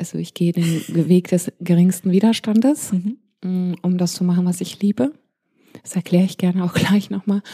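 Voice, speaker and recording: Her voice is a woman's, medium in pitch, with a dark, mellow tone, somewhat breathy, with fairly even intonation at a moderate pace, in a dry, close sound with no echo. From grew up abroad: Pakistan, India, Malaysia. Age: 40s. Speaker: DJ. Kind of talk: interview.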